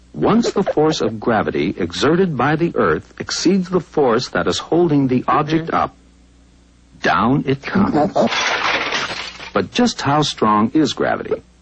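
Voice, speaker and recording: Over noticeable background noise, the speaker goes at a fairly slow pace with long, frequent pauses, very wide pitch swings and very even loudness. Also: man, fairly high pitch for a man. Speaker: narrator. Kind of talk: educational narration.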